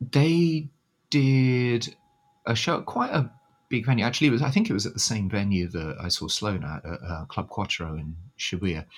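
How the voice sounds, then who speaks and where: A British accent, a moderate pace and very wide pitch swings. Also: man, medium pitch for a man. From Britain. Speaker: music fan. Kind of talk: casual chat. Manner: hesitant, filler-heavy.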